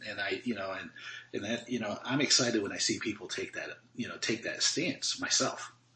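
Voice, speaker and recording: A man is speaking. He keeps a fairly quick pace. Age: 40s. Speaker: podcast host. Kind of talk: casual interview conversation.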